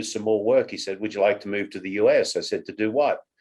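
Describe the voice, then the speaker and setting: A man talks with an Australian accent. His pitch is fairly low, and his intonation is fairly even. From Australia, Sydney. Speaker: company CEO. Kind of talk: interview.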